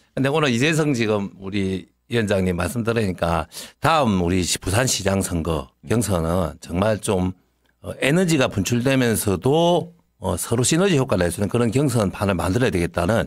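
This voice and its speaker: With a quiet background and a dry sound with no echo, a man speaks at a moderate pace in a fairly low voice that swings very widely in pitch. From South Korea. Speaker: defeated election candidate, politician; election candidate, politician. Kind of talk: interview. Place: studio. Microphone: studio mic.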